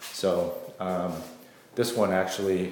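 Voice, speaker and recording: There is audible room echo. A man speaks at a fairly low pitch. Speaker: real estate agent. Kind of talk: property video tour. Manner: hesitant, many fillers.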